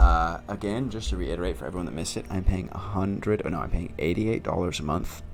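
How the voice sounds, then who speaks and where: A very fast male voice, very deep and low in pitch, with vocal fry and audible room echo. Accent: American. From Northern California (Sacramento). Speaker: artist streamer. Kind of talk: casual livestream chat. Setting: livestream.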